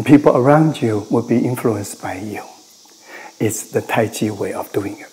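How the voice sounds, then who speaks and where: Over noticeable background noise, a man talks at a moderate pace and medium pitch, with ordinary pitch variation and big swings in loudness. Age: 70s. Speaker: tai chi master. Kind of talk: interview. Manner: halting.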